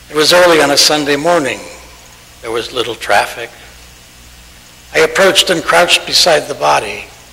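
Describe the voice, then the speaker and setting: Speaking at a fairly quick pace, a man leaves long, frequent pauses. His fairly high pitch shows ordinary variation, and there is noticeable background noise. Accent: American. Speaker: Unitarian Universalist minister. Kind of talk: reading of a written piece aloud in a service.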